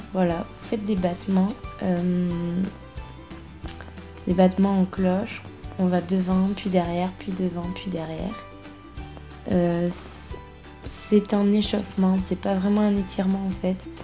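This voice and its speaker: Very slowly and in a monotone, flat voice, a woman speaks with long, frequent pauses as music plays in the background. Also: medium pitch for a woman. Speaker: contortionist. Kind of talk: voice-over exercise tutorial. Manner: casual, chatty.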